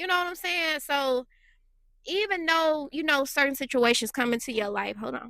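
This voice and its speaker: A woman uses a raised, projected voice at a high pitch. Her bright, sharp tone sounds animated, with lively intonation. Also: moderate pace. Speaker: relationship vlogger. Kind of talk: casual monologue.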